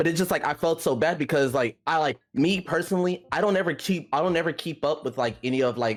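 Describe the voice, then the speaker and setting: With an American accent, a man rattles along at a very fast pace with hardly any pauses, fairly high pitch, ordinary pitch variation and very even loudness. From Texas. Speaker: streamer. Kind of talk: casual chat.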